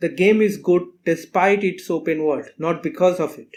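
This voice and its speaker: A man talks at a fairly slow pace with a non-native accent. His voice is high, with ordinary pitch variation. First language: not English. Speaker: video game critic. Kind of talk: video essay narration.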